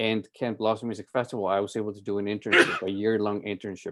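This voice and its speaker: A man of medium pitch speaks with a Spanish accent. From Colombia (Medellin). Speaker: music festival director, violinist. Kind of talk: presentation to club. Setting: video call.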